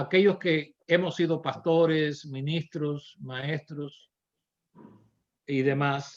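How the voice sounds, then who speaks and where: A man talks in a flat monotone at a very slow pace. His speech has long, frequent pauses. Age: 70s. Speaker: pastor. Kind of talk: Bible class teaching.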